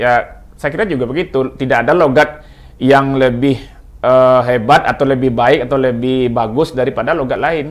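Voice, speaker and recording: A man with a Minang accent talks at a moderate pace and medium pitch, keeping his intonation fairly even. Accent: Minang-accented Indonesian. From West Sumatra (Minangkabau). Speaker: linguist. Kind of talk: talk show discussion. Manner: halting, with many fillers and restarts.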